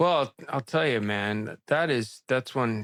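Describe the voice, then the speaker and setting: The sound is dry and close with no echo, a very clean recording with a silent background. A man speaks at a fairly slow pace in an unremarkable speaking voice. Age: 60s. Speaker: video blogger doing a water fast. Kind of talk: casual chat.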